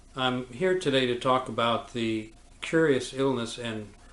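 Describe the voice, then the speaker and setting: A man talks at a medium pitch. Room echo is audible around him. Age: 70s. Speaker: surgeon. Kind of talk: lecture. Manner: halting, frequent fillers.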